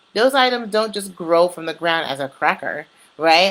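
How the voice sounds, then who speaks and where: Speaking with an American accent, a woman with a fairly low pitch and an unremarkable speaking voice talks at a moderate pace in a very clean recording with a silent background. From New York. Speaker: community presenter. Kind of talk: informal talk. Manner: casual.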